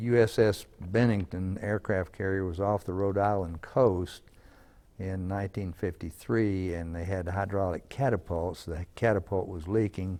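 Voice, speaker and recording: With an American accent and a dark, mellow tone, the speaker talks at a moderate pace with fairly even intonation against a quiet background. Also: man, very deep, low pitch for a man. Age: 80s+. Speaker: war veteran. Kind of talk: interview.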